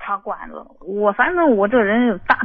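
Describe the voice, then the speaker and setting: A woman talks at a fairly slow pace in an ordinary speaking voice. Her pitch is medium. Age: 50s. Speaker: caller, second-marriage wife. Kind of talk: phone-in advice call. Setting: phone call.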